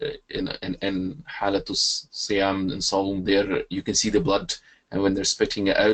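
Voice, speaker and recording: The speaker has a Scottish accent and a flat, monotone delivery. The pace is moderate. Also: man. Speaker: webinar participant asking a question. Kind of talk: question to a speaker. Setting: webinar.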